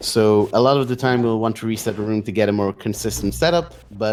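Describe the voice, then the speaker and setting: Amid noticeable background noise, a man with a non-native accent speaks at a moderate pace and fairly low pitch with ordinary pitch variation. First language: not English. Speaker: speedrun commentator. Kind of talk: live commentary. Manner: halting, many fillers.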